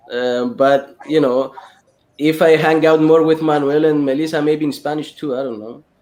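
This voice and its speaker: This man's voice has a fairly high pitch and fairly even intonation. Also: moderate pace. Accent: Greek. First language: Greek. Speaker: film director. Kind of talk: casual chat.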